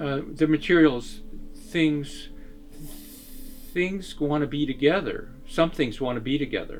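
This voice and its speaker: Music plays in the background as a man talks at a fairly slow pace with lively intonation. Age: 70s. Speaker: artist. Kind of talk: interview. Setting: artist's studio. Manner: halting.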